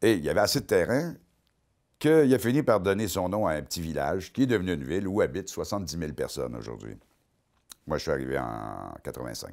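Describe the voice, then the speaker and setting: In a Quebec accent, a man with a very deep, low pitch and vocal fry talks at a fairly quick pace, his pitch swinging very widely, with long, frequent pauses against a quiet background. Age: 50s. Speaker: comedian and columnist; comedian. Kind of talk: comic monologue. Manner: animated. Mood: wry, joking. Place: studio.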